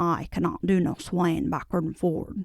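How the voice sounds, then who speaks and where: In a put-on character voice, gruff and with a Yorkshire accent, the speaker talks at a moderate pace with fairly even intonation. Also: woman, fairly low pitch for a woman. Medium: read story. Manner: dry, gruff.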